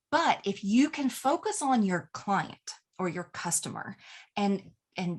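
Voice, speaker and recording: A woman with an American accent, very slow, somewhat breathy, with very wide pitch swings over a quiet background. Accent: Southern US, strong at moments. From US South. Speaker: email marketing coach. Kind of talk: tutorial. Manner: casual and chatty.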